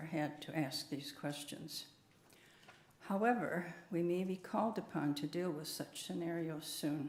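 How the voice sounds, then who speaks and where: A woman with an American accent speaks at a fairly slow pace with ordinary pitch variation, and audible room echo surrounds her voice. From USA. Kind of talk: prepared talk at church service.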